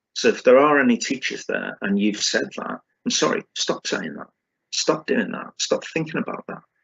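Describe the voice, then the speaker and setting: Loudness rises and falls sharply throughout. The speaker has a British accent and talks at a moderate pace. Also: man. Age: 60s. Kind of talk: conference talk. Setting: conference with screen sharing. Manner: halting with fillers.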